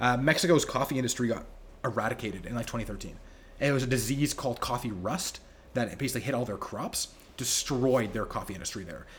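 Somewhat breathy, a man speaks at a very fast pace with a medium pitch and ordinary pitch variation. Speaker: coffee roaster and cafe owner. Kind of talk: casual interview chat.

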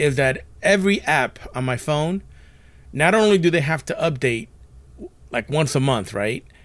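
A man with a normal speaking voice talks at a moderate pace, his pitch fairly high and his intonation lively. The recording is very clean, with a silent background. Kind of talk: casual banter podcast rant.

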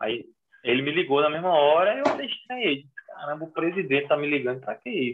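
Delivered at a very fast pace, the speech carries lively intonation. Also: man, fairly high pitch for a man. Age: 30s. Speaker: American football coach. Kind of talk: casual interview chat.

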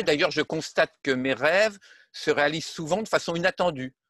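Against a quiet background, a man with a high pitch speaks at a moderate pace with ordinary pitch variation, the sound dry and close with no echo. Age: 70s. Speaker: retired defence engineer and civil servant. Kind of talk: interview. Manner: halting.

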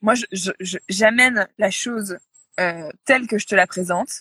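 A woman speaks at a medium pitch with ordinary pitch variation. The sound is dry and close, with no echo. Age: 30s. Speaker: yoga retreat agency founder. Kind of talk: interview. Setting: Instagram live. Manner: halting, many fillers and repetitions.

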